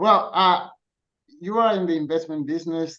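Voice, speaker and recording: A man talks with a Spanish accent. His pitch is high. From Colombia. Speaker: dance teacher and frugal living writer. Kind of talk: podcast interview.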